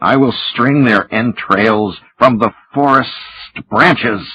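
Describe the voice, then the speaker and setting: Using a hissing, put-on character voice of medium pitch, a man speaks at a fairly slow pace. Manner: hissing, menacing.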